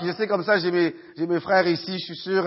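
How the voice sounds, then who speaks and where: A man at a moderate pace. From Haiti, raised in Quebec (Montreal area) from age 14. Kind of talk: testimony. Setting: church with audience, microphone. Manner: halting, many fillers and repetitions.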